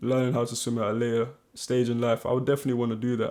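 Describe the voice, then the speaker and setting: In a London accent, the speaker moves at a fairly quick pace on a very clean recording with a silent background. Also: man. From northwest London. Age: 30s. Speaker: actor and presenter. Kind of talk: casual interview chat.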